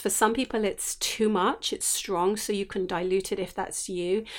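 The recording is very clean and the background silent. Speech moves at a moderate pace. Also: woman. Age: 50s. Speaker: essential oils teacher and podcast host. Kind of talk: solo podcast talk, reflective teaching. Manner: sing-song; gentle, warm.

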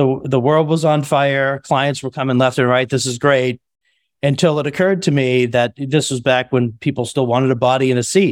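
With an unremarkable speaking voice, a man at medium pitch talks at a moderate pace with fairly even intonation on a very clean recording with a silent background. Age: 50s. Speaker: compliance consulting firm CEO. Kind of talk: interview.

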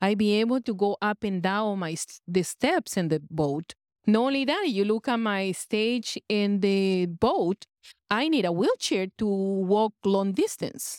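In a very clean recording with a silent background and a dry, close sound with no echo, a woman speaks at a medium pitch and a fairly slow pace with a non-native accent. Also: ordinary pitch variation. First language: not English. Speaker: cruise passenger, hypnosis seminar attendee. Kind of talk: testimony. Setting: on a cruise ship.

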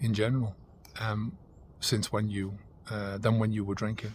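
Recorded very cleanly against a silent background, a man speaks at a moderate pace and medium pitch, sounding somewhat breathy. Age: 50s. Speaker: sobriety coach. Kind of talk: monologue to camera. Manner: halting.

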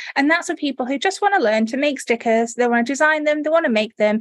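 A woman with a northern English accent and lively intonation. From northern England. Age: 40s. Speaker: sticker maker and online course creator. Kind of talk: casual interview chat.

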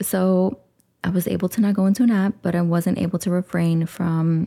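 A woman speaks at a fairly quick pace in a fairly low pitch with a dark, mellow tone. The sound is dry and close, with no echo. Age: 40s. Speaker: self-love coach and podcast host. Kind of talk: solo podcast monologue. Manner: animated.

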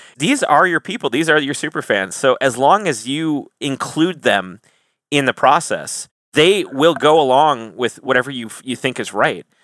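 With lively intonation and an animated tone, a man speaks at a moderate pace in a fairly high pitch. The sound is dry and close with no echo, on a very clean recording with a silent background. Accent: American. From Wisconsin, US. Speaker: metal band singer. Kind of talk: casual interview, humorous. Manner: animated, jokey.

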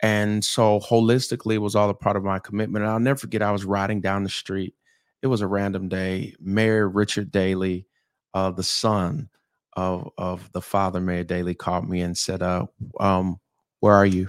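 The speaker has a Southern accent. The intonation stays fairly even. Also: man, fairly low pitch for a man, moderate pace. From US South, St. Petersburg, Florida. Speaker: pastor. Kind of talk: casual chat. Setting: studio.

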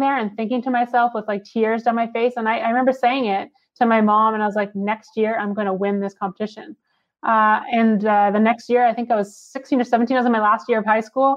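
A woman with a Canadian accent speaks at a very fast pace. Her pitch is fairly high and her intonation fairly even. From Canada. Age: 20s. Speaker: former pro snowboarder and entrepreneur. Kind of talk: interview conversation.

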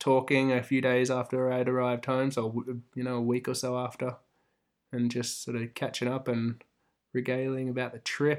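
A man with an Australian accent at medium pitch and moderate pace, monotone and flat in intonation, in a very clean recording with a silent background. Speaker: host's romantic partner. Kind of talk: casual chat. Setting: in-person recording, sitting side by side.

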